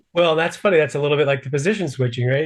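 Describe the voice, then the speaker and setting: Fairly high pitch, somewhat breathy, ordinary pitch variation, from a man. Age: 60s. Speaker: podcast host. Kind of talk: interview. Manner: halting.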